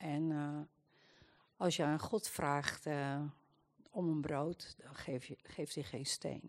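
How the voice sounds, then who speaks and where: A woman with a very deep, low pitch speaks at a very slow pace, with long, frequent pauses and fairly even intonation. Her loudness swings widely against a quiet background. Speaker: churchgoer giving prophetic words.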